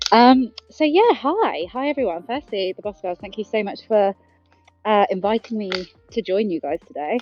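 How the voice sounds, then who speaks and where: In a British accent, a woman with a fairly high voice talks at a moderate pace, with lively intonation and big swings in loudness. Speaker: artist and founder of an NFT members club. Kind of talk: panel chat on a live audio show. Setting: outdoors, walking her dog. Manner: hesitant, many ums.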